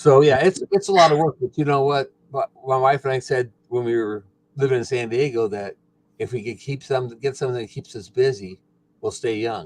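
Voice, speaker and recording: Fairly quick in pace, a man with a plain, everyday voice speaks at medium pitch with ordinary pitch variation, the sound dry and close with no echo. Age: 60s. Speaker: retired farmer and rancher. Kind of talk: casual chat.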